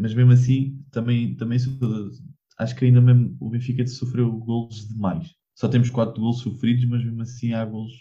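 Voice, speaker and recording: With a European Portuguese accent, a man speaks at a medium pitch and a fairly slow pace. His tone is dark and mellow, somewhat breathy, with audible room echo. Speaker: football podcast co-host. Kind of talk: casual chat.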